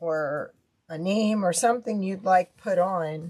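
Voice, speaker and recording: A woman speaks at a very slow pace, her pitch varying in an ordinary way. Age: 60s. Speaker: crafter. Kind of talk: live craft stream. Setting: livestream. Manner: casual.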